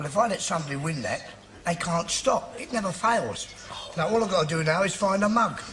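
The voice moves at a fairly quick pace with ordinary pitch variation over light background noise. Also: man, high pitch for a man. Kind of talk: sitcom dialogue. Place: cafe.

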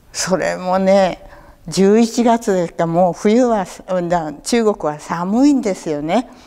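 A woman speaks very slowly, with ordinary pitch variation, against a quiet background. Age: 80s. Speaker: war survivor storyteller; war memory storyteller. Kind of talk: testimony; oral history interview answer. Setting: local museum talk event. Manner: conversational, with frequent fillers. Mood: calm, reflective storytelling. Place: hall.

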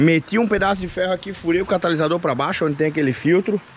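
A man at a fairly quick pace, dry sound with no echo, and light background noise. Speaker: car hobbyist vlogger. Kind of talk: casual vlog chat. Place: open country. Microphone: phone near.

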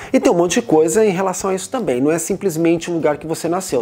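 Faint music plays in the background as a man speaks at a fairly high pitch. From Brazil. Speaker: video blogger. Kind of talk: vlog monologue. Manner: casual. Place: home room. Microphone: lapel.

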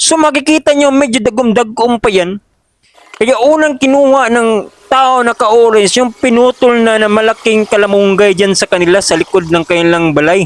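An extremely high-pitched male voice with lively intonation, moderate pace and very even loudness, in dry, close sound with no echo. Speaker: farm vlogger. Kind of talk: voice-over narration. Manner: halting.

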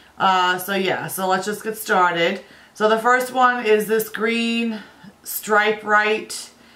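With a bright, sharp tone and fairly high pitch, a woman speaks at a very slow pace and fairly even intonation amid audible room echo. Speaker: beauty vlogger. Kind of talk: casual vlog talk.

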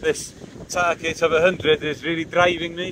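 There is faint background noise as a man speaks at a moderate pace, his fairly high, fairly bright voice showing little pitch movement.

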